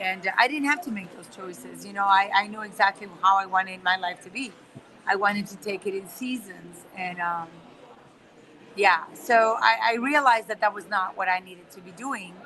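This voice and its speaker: Noticeable background noise behind a woman in a Spanish accent, medium pitch with ordinary variation, moderate pace, and big swings in loudness. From Spain, Barcelona area. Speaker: guest speaker, trained lawyer. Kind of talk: interview conversation. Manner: many repetitions and fillers.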